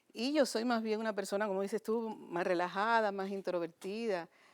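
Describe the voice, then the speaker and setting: A woman talks at a fairly quick pace in a medium pitch with ordinary pitch variation. The recording is very clean, with a silent background. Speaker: stage and television actress. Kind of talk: interview.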